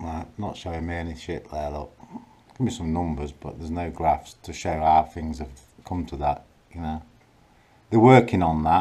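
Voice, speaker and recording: A man speaks at a moderate pace in a very deep, low voice with ordinary pitch variation. His loudness swings widely, and he leaves long, frequent pauses. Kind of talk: casual vlog chat, complaining. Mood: frustrated, annoyed. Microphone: phone near.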